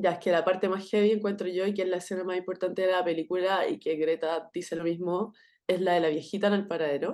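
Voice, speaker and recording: A woman with a Chilean accent speaks very fast at a medium pitch with fairly even intonation against a quiet background. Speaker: podcast co-host. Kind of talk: casual chat.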